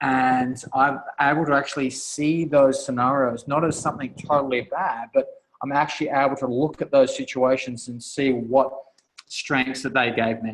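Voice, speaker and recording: A man with an Australian accent speaks at a moderate pace. His medium pitch stays monotone, with flat intonation. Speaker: author and coach. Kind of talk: guest talk on a group call. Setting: conference call. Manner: halting, many fillers and restarts.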